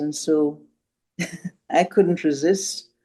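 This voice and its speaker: With a very deep, low pitch and a dark, mellow tone, a woman talks at a fairly slow pace. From Caribbean. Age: 80s+. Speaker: retired feminist activist. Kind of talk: introductions in online meeting. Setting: video call.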